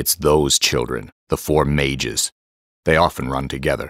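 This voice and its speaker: A man's growling, put-on character voice, very deep and low-pitched. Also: moderate pace. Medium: audio drama.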